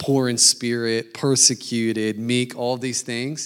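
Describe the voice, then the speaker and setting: Very slow speech on a very clean recording with a silent background. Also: man. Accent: American. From Denver, Colorado, US. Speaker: missionary and preacher. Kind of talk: sermon.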